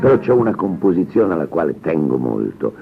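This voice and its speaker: A Roman accent with very wide pitch swings at a moderate pace, over noticeable background noise. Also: man. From Turin, raised in Rome. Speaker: bandleader and composer. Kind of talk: interview. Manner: halting.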